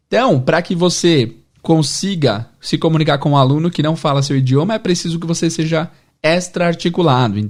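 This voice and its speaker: A man's fairly high voice at a moderate pace, with ordinary pitch variation, over a quiet background. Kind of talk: teaching explanation.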